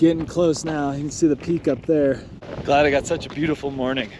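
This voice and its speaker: Noticeable background noise accompanies a man talking at a fairly quick pace, fairly high in pitch, with fairly even intonation. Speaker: hiking vlogger. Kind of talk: outdoor vlog narration. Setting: outdoors on a mountain trail. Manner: casual.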